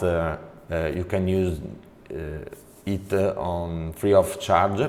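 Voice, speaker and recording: A man with an Italian accent speaks in a very deep, low voice with ordinary pitch variation over noticeable background noise. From Italy. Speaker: network trainer. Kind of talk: tutorial. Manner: halting, many fillers.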